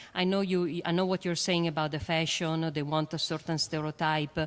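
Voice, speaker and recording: Fairly low-pitched female speech with an Italian accent and fairly even intonation. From Italy. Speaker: astrophysicist and educator. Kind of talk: panel discussion. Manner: hesitant, many fillers.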